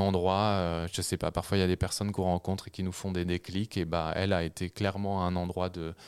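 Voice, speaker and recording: At a moderate pace, a man with a very deep, low pitch speaks in a very clean recording with a silent background and a dry, close sound with no echo. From Normandy, France. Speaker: author and journalist. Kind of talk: radio interview. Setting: radio studio.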